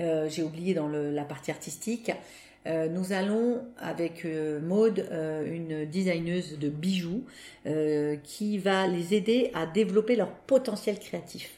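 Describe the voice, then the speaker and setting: A woman's fairly low, dark, mellow voice with ordinary pitch variation at a very slow pace. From Paris, France. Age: 50s. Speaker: association founder. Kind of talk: interview testimony. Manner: hesitant, many fillers.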